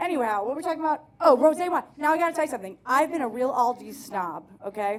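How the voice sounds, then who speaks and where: With an American accent, a woman talks at a very fast pace, her high voice animated and full of very wide pitch swings. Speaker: stand-up comedian. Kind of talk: stand-up. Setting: stage with audience.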